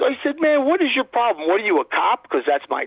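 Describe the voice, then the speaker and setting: A man with an American accent rattles through his words at a very fast pace. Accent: New York Brooklyn accent, adjustable. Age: 50s. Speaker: guest. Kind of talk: casual chat, storytelling. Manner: animated.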